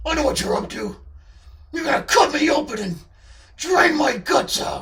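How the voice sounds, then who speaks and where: A man puts on a character voice with extremely high pitch. He speaks at a moderate pace. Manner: menacing.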